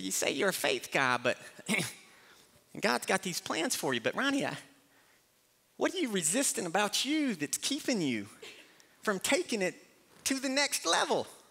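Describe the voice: In a put-on character voice, a man sounds squeaky and high-pitched, with very wide pitch swings. He keeps a moderate pace and leaves long, frequent pauses.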